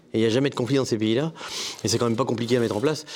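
A man with a medium-pitched voice talks very fast, keeping his intonation fairly even. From Maine-et-Loire, western France. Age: 50s. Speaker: organic farmer. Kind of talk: televised panel debate. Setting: studio with live audience.

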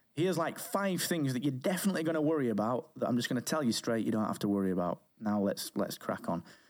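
A man with a British accent speaks at a very fast pace with hardly any pauses. His medium pitch swings very widely, while his loudness stays very even. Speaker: podcast company founder. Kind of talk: interview conversation. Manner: soft-spoken.

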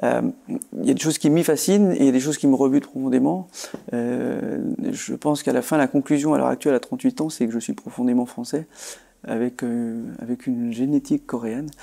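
A man's medium-pitched voice with a dark, mellow tone at a fairly quick pace. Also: ordinary pitch variation. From France, rural Haute-Marne. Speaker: politician. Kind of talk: interview. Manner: halting, many repetitions.

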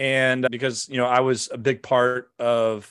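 Here is a man with an American accent and an ordinary speaking voice at medium pitch. His intonation is fairly even, and the background is quiet. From US Midwest, St. Louis, Missouri. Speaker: business coach and war veteran. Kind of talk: interview conversation.

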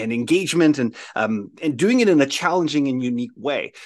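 A plain, everyday voice with a Canadian accent and lively intonation. The background is quiet. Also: man. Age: 40s. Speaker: professional speaker and team-building consultant. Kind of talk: casual interview chat. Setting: his own studio, video call.

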